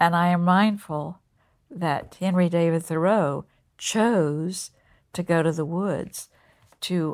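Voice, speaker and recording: With a Southern US accent, a woman speaks at a fairly low pitch with fairly even intonation on a very clean recording with a silent background. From North Carolina. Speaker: college president. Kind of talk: interview.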